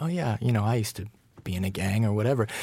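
This man talks with an American accent at a medium pitch, his voice somewhat breathy. His intonation is lively, and the recording is very clean with a silent background. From Colorado. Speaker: novelist. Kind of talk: conversation between writers.

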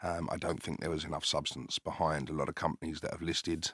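This man has a very deep, low voice and a British accent. The recording is very clean, with a silent background. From Zimbabwe, raised in UK. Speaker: company CEO and founder. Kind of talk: interview. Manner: hesitant, filler-heavy.

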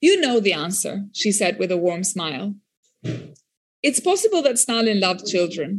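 A somewhat breathy woman at a moderate pace, with very wide pitch swings. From Albania. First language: French. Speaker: political scientist and author. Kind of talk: reading aloud and interview. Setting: stage with audience.

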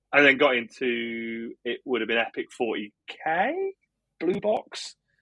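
This is a man speaking. He talks with an English accent. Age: 30s. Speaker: podcast host. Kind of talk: casual chat.

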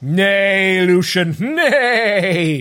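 A man uses a put-on character voice that is raised, projected and high-pitched. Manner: neighing, horse-like.

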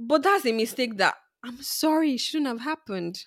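A woman's high-pitched voice with a bright, sharp tone at a moderate pace, on a very clean recording with a silent background. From Nigeria. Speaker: podcast co-host. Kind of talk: casual chat.

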